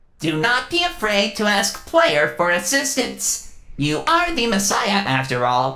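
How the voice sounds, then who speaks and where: Here a character voice is put on. Delivery stays fairly slow. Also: female-sounding voice. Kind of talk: grandiose prophetic speech. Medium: fan dub. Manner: formal, stilted, no contractions.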